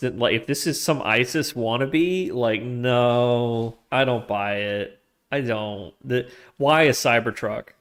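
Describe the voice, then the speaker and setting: A man with an American accent speaks at a very slow pace. His pitch is medium, with ordinary pitch variation. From US South, Georgia. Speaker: streamer and algorithmic trader. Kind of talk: casual live stream chat. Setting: live stream. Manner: halting, self-correcting.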